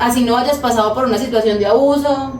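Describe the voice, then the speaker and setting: A woman's fairly high voice comes through noticeable background noise and audible room echo. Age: 20s. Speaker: podcast co-host. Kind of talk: casual podcast conversation.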